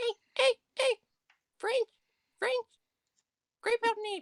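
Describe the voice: This put-on character voice is squeaky and extremely high-pitched, delivered at a fairly slow pace.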